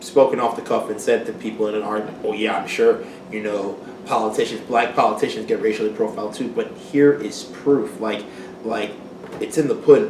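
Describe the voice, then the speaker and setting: Noticeable background noise and audible room echo accompany a man who talks at a fairly quick pace. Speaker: talk show co-host. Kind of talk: casual chat. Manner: stuttering, excited.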